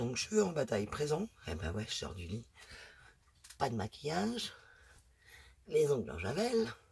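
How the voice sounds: A man puts on a raspy, hoarse character voice, fairly high in pitch, with very wide pitch swings. He talks at a moderate pace with long, frequent pauses.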